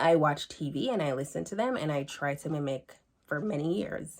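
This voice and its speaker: This woman speaks with a Jamaican accent. Her pitch is very deep and low. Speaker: student. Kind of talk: class presentation.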